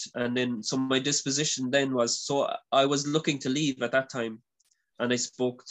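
A man speaks with an Irish accent at a medium pitch. His pace is moderate and his intonation fairly even. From Ireland. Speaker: former religious brother. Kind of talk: interview. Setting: video call.

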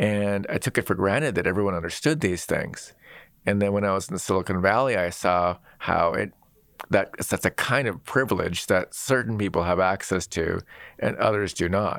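A plain, everyday voice at a moderate pace, very even in loudness with ordinary pitch variation, on a very clean recording with a silent background. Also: man, fairly low pitch for a man. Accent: American. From US Pacific Northwest (Seattle). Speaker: designer and technologist, author. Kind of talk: interview.

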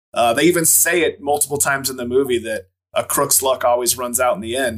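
A man talks at a fairly quick pace with lively intonation. He has an unremarkable speaking voice. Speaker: podcast co-host. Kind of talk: casual chat.

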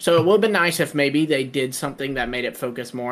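A man with fairly high pitch and ordinary pitch variation talks in a normal speaking voice. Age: 20s. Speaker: podcast co-host. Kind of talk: casual chat.

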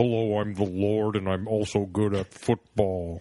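In a put-on character voice, a man talks at a moderate pace with a fairly low pitch and monotone, flat intonation. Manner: pompous.

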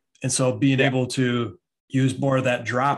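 The background is quiet as a man speaks with an American accent. His voice is somewhat breathy. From Michigan. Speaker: podcast host and basketball trainer. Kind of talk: podcast interview.

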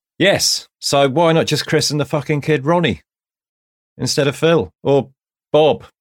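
With long, frequent pauses, the speech keeps very even loudness and ordinary pitch variation on a very clean recording with a silent background. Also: man, fairly high pitch for a man, fairly slow pace. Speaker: returning co-host. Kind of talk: casual chat.

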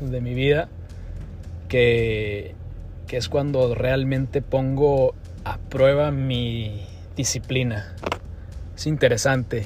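Over music in the background, a man speaks at a very slow pace with a medium pitch and fairly even intonation. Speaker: podcast host and cattle auction professional. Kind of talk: pep talk: fired-up motivational exhortation on discipline, ownership and getting back up. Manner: earnest, emphatic, coach-like and urging, with punchy repeated phrases.

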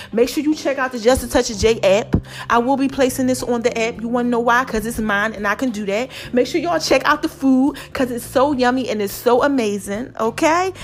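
A woman speaks with a high pitch at a fairly quick pace, in an animated tone with ordinary pitch variation. Music plays in the background. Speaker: podcast host. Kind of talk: motivational monologue.

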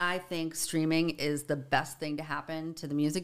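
A woman with a Boston accent, very deep and low in pitch, at a moderate pace. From Boston, Dorchester. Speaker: musician and songwriter advocate. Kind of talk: casual interview.

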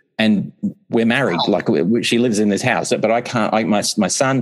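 A man at a medium pitch and a moderate pace. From Australia, Melbourne. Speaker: author and composer. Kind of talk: casual interview.

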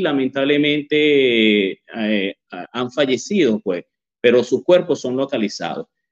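A man speaks at a fairly slow pace. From Venezuela, Barquisimeto. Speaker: journalist and author. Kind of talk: interview. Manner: halting, many fillers.

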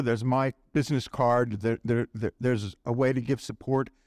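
Dry and close with no echo, a man's normal speaking voice comes through at a moderate pace and medium pitch in a very clean recording with a silent background. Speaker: supporter of the guest's work, making closing announcement. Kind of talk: closing announcement.

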